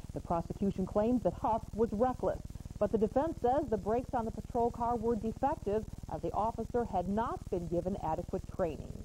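Over noticeable background noise, a woman speaks at a fairly quick pace with lively intonation and a fairly high pitch. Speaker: news anchor. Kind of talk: TV newsreading. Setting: studio. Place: studio.

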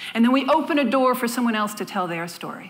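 The tone is animated, with lively intonation throughout. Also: woman. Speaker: public speaking coach. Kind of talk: spoken word storytelling, a passionate motivational talk. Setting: stage with audience. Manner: animated, emphatic; rhythmic, repetitive phrasing, deliberate.

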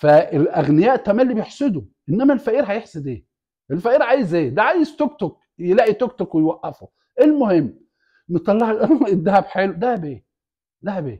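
A man speaks at a moderate pace in a high voice with very wide pitch swings, against a quiet background. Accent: Egyptian. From Egypt. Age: 60s. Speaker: YouTube commentator. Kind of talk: casual monologue. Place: home room. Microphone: lapel.

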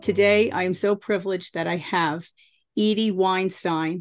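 A woman at a fairly slow pace, fairly even intonation, quiet background. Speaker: podcast host and therapist. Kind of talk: casual interview. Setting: video call. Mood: warm, welcoming. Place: home room. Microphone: video call.

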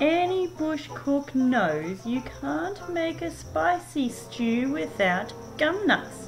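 A female-sounding, put-on character voice speaks at a very slow pace with a high pitch, with clear music playing in the background. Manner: yawning, sleepy.

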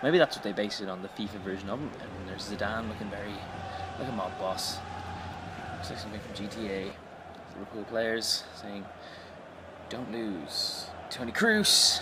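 A man's fairly low voice with long, frequent pauses and big swings in loudness, plus noticeable background noise. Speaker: YouTube sports commentator. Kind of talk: live-style football commentary over game footage, wry and chatty. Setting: voiceover on video game footage. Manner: quick, conversational, dry-humoured, rising to excitement on chances.

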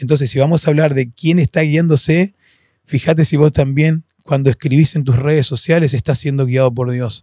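This man's voice is fairly high, somewhat breathy and dark and mellow in tone, at a moderate pace. The sound is dry with no echo, and the background is quiet. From Argentina, Posadas (Misiones); Misiones, Argentina. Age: 40s. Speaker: freestyle battle host and hip hop ministry leader; podcast guest. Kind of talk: casual interview chat; interview answer. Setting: recording studio. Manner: animated. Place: studio. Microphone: studio mic.

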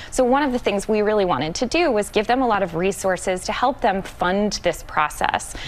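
Lively intonation from a woman at a fairly quick pace with hardly any pauses. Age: 30s. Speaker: magazine editor; guest. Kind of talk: TV panel interview. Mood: upbeat, warm. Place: studio.

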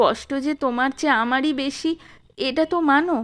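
A woman uses a put-on character voice with a high pitch against a quiet background. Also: moderate pace. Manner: sorrowful, hurt.

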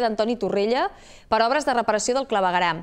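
Fairly high in pitch with ordinary variation, a woman talks at a fairly quick pace against a quiet background. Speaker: news anchor. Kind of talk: news reading. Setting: studio. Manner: formal. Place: studio. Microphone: lapel.

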